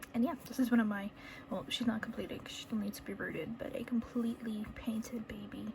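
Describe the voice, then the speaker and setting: Fairly high-pitched woman at a fairly quick pace, noticeable background noise behind her. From New England. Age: 20s. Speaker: reborn doll artist. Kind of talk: casual talk to camera while painting. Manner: chatty, rambling.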